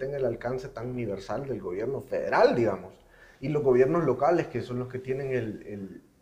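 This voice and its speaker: There is noticeable background noise as a man speaks at a fairly quick pace and a medium pitch. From foreign to the region. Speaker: podcast co-host. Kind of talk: casual chat.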